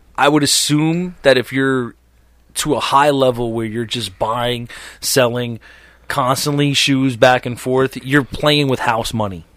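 At a fairly slow pace, a man with a plain, everyday voice speaks at medium pitch with fairly even intonation. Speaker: podcast host. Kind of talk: casual banter.

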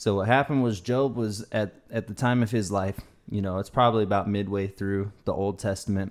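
A man speaks fairly quickly with an American accent and fairly even intonation, in an unremarkable speaking voice. His pitch is fairly low, and the recording is very clean with a silent background. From US South. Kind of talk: casual chat.

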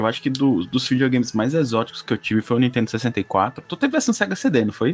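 A man with an unremarkable speaking voice talks at a fairly quick pace with hardly any pauses. His medium pitch shows ordinary pitch variation. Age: 40s. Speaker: podcast co-host. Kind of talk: casual chat.

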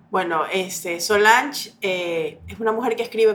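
Fairly slow female speech over background music. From Ecuador, Guayaquil. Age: 40s. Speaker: educational psychologist and actress. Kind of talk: casual chat.

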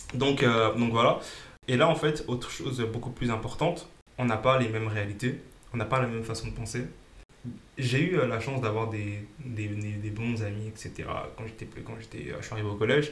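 A man talks at a moderate pace and medium pitch with ordinary pitch variation and long, frequent pauses, amid noticeable background noise and audible room echo. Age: 20s. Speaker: financial coach and former bank employee. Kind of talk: casual interview. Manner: hesitant, many fillers.

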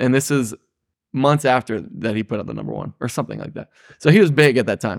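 Very fast talk with a Midwestern US accent, vocal fry, lively intonation, and big swings in loudness, in a dry, close sound with no echo. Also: man, medium pitch for a man. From Ohio. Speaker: guest, cross-country cyclist and school worker. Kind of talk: casual storytelling.

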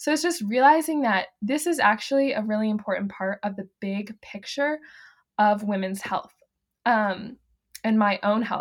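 This woman has an American accent and a fairly high, somewhat breathy voice with ordinary pitch variation. The recording is very clean with a silent background. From US South, the Carolinas. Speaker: fertility awareness educator. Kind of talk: casual interview chat.

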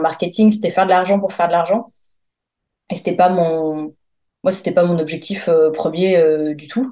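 Her tone dark and mellow, a woman speaks at a fairly low pitch and a moderate pace, keeping her intonation fairly even. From Paris region, France. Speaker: freelance press officer. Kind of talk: interview. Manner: halting, many hesitations.

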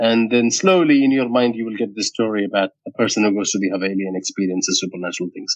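A man with a medium-pitched voice talks at a very fast pace, hardly pausing, with ordinary pitch variation. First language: not English (English is his third language). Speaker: podcast writer and voice actor. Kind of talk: interview. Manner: hesitant, many fillers.

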